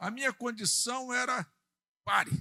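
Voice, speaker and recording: A man speaks at a fairly slow pace with a bright, sharp tone and vocal fry, the sound dry and close with no echo. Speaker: pastor. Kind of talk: sermon. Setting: church.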